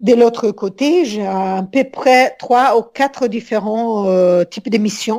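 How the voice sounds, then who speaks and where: In an Italian accent, a woman with a fairly high, dark, mellow voice talks at a very slow pace with hardly any pauses. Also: ordinary pitch variation. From Italy, Rome. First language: Italian (speaking French). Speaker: business consultant. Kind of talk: interview. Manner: halting.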